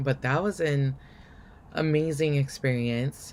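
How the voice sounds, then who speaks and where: A woman talks at a very slow pace. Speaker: life coach and video blogger. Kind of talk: casual vlog talk. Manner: hesitant, many fillers.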